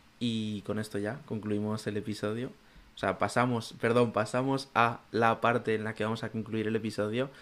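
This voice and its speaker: A man at medium pitch speaks in a monotone, flat intonation at a moderate pace. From Zaragoza, Spain. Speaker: podcast co-host. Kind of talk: casual chat.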